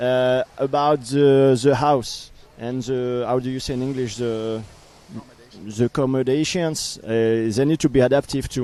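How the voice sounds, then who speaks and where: With a French accent, a man talks at a fairly slow pace, at a medium pitch and with fairly even intonation. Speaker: para canoe team coach. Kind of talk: interview. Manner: halting.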